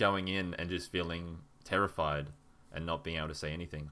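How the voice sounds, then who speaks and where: A man speaks at a very deep, low pitch in a bright, sharp tone. His pace is moderate and his pitch variation ordinary. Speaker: language learner, conversation podcast host. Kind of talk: casual chat. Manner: stutters, halting.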